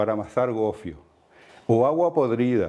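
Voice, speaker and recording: Speaking at a moderate pace, a man has a medium pitch, a dark, mellow tone and lively intonation. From Canary Islands, La Palma (El Paso). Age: 60s. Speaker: heritage inspector and lecturer. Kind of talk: lecture. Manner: halting.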